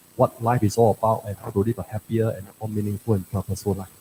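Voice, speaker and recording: A man with a fairly low, dark and mellow, somewhat breathy voice speaks at a very fast pace in a flat monotone, with a dry, close sound and no echo. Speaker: president of a Buddhist association. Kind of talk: short address at a religious gathering. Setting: shrine hall, livestreamed. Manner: halting, many fillers.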